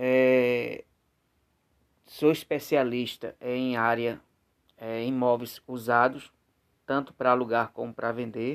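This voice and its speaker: The voice moves at a very slow pace with long, frequent pauses. Its intonation is monotone and flat. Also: man, medium pitch for a man. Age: 40s. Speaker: real estate agent. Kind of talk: sales pitch. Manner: halting, with frequent fillers.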